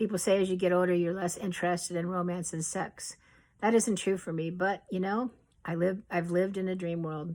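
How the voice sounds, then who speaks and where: Her delivery is fairly quick. The woman's intonation stays flat and monotone. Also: medium pitch for a woman. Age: 60s. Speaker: author reading her memoir. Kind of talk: reading aloud.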